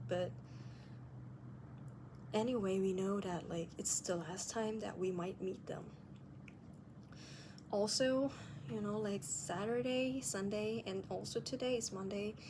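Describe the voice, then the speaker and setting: Her pitch is medium for a woman, with ordinary variation. She speaks at a fairly slow pace with long, frequent pauses. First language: non-native English speaker. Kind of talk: casual video diary talk to camera.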